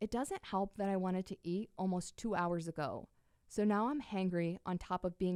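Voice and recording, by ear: Someone reads a text aloud in a natural voice.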